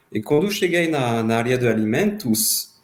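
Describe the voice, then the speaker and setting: A man speaks with a French accent. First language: French (speaking Portuguese). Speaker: former student. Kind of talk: podcast interview. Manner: halting.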